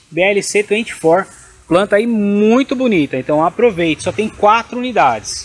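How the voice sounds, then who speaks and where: The intonation of this woman is lively. She talks at a fairly slow pace. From Brazil. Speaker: orchid shop seller. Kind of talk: sales pitch, street-seller style promo patter. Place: garden. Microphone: phone near.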